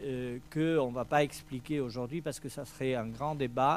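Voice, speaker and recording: A man's medium-pitched voice with a Spanish accent, fairly even intonation, and a fairly slow pace. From Spain. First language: Spanish (speaking French). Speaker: event organizer. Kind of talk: press presentation speech. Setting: hotel press conference. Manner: halting, many hesitations.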